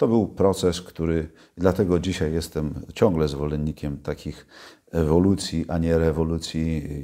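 Against a quiet background, a man with a very deep, low pitch and a dark, mellow tone talks at a moderate pace with fairly even intonation. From Poland, Gdańsk (Kashubian mother); Poland. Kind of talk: interview. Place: home room.

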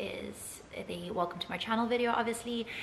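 Light background noise sits behind a woman's voice. Her intonation stays fairly even. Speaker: travel vlogger. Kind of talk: casual vlog chat. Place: home room. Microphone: phone near.

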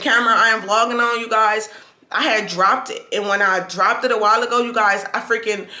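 A woman speaking at a fairly quick pace. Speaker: vlogger. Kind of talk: casual vlog chat, product review. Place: home room. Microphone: camera far.

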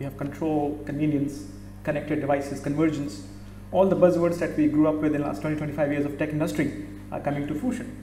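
Speaking at a fairly quick pace, a man has a fairly high pitch with little pitch movement. Room echo is audible.

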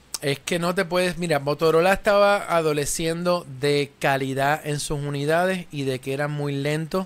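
In an unremarkable speaking voice, a man talks at a moderate pace and a fairly high pitch, with fairly even intonation and hardly any pauses. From Puerto Rico. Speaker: tech show host. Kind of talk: live tech talk show. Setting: radio/TV studio. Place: studio. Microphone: studio mic.

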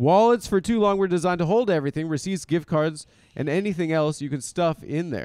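Over a quiet background, a man with a high pitch talks at a fairly quick pace with ordinary pitch variation, and the sound is dry with no echo. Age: 30s. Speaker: comedian and podcast host; comedian, podcast host. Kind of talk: casual chat. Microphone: handheld.

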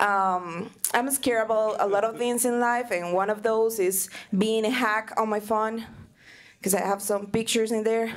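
A woman with a non-native accent speaks at a fairly high pitch, keeping fairly even intonation and very even loudness. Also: moderate pace. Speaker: stand-up comedy student. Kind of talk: stand-up comedy set. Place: stage. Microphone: handheld.

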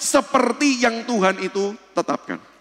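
This man speaks at an extremely high pitch. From Indonesia. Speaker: speaker. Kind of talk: church seminar lecture. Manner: conversational, addresses audience directly. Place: church.

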